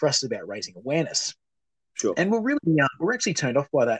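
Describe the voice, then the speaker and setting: A man with an Australian accent talks at a very fast pace, his intonation lively. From Australia, New South Wales (Muswellbrook). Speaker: charity founder. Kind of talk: casual interview.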